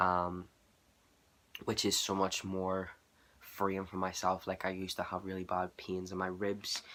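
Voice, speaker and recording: A man with a Northern Irish accent and a very deep, low pitch, a fairly slow pace, monotone, flat intonation and long, frequent pauses, on a very clean recording with a silent background. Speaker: vlogger. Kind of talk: casual vlog.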